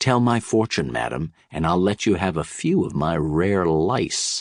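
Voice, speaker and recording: A man puts on a gruff character voice with a very deep, low pitch. He keeps a moderate pace. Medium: read story. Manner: gruff, rude, swaggering.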